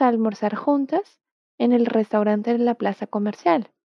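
A woman with a Portuguese accent speaks at a fairly high pitch, her pitch varying in an ordinary way. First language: Portuguese (speaking Spanish). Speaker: Portuguese language teacher. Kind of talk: language lesson. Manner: slow, clear enunciation for repetition.

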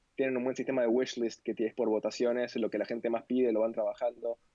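A man talks at a very fast pace in a medium pitch. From Argentina, Buenos Aires. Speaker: visual developer and designer. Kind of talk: casual interview.

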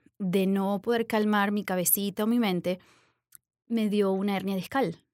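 A woman speaks fairly slowly in an ordinary speaking voice, at medium pitch with fairly even intonation. The recording is very clean, with a silent background and a dry, close sound with no echo. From Venezuela. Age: 40s. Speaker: yoga instructor and business owner. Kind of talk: interview.

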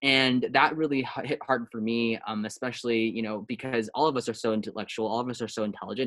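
A man's normal speaking voice with an American accent, medium pitch, fairly even intonation and fairly quick pace. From Taiwan-born, raised in the US from age three. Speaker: app startup founder. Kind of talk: interview. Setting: video call.

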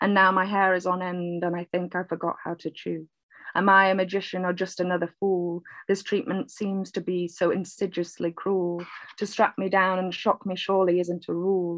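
A woman with a Mancunian accent speaks at a moderate pace in a monotone, flat intonation. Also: medium pitch for a woman. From Manchester, northern England. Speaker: poet. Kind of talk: casual interview chat.

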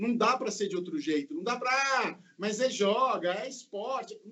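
A man talks over noticeable background noise. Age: 50s. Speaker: football podcast panelist. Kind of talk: casual chat. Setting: video call.

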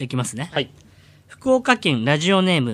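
A man talks at a moderate pace with very wide pitch swings on a very clean recording with a silent background. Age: 40s. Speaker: comedian impersonator. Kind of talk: reading listener submissions aloud. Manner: animated.

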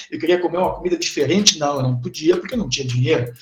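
A man speaks in a southern Brazilian accent at a high pitch. Noticeable background noise sits behind him. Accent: southern Brazilian (gaúcho) Portuguese. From Formigueiro, interior of Rio Grande do Sul, Brazil. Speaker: teacher. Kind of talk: casual interview.

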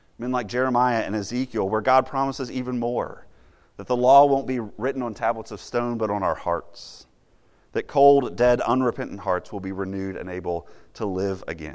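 In a very clean recording with a silent background, a man uses an ordinary speaking voice at a medium pitch, with ordinary pitch variation and a moderate pace. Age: 30s. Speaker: campus minister. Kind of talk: sermon.

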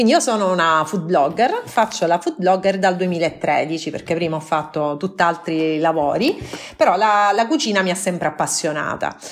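With music in the background, a woman talks at a moderate pace in a fairly low pitch with ordinary pitch variation. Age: 30s. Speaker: food blogger. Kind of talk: casual chat.

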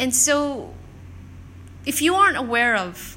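A woman speaks at a fairly slow pace with lively intonation. Room echo is audible. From South Korea. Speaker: podcast host and coach. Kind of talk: solo podcast monologue.

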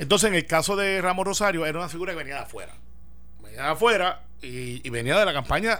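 A man talks at a very fast pace with lively intonation and a bright, sharp tone, plus some vocal fry. Audible room echo surrounds his voice. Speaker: senator. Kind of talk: political radio panel discussion.

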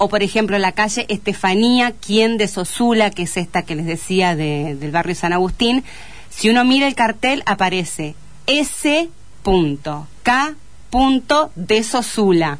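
A woman at medium pitch, fairly slow pace, with very wide pitch swings. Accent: Entre Ríos Argentine. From Argentina, Paraná (Entre Ríos). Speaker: teacher and author. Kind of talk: radio interview. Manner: halting, frequent word repetitions.

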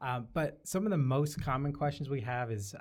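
A man with an American accent, an ordinary speaking voice at medium pitch, moving at a fairly quick pace. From Syracuse, New York, US Northeast. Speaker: campus police officer. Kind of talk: podcast interview.

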